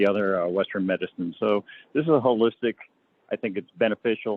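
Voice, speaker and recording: A man with a plain, everyday voice, fairly low pitch, ordinary pitch variation and a fairly quick pace. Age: 60s. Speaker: public commenter. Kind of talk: public comment.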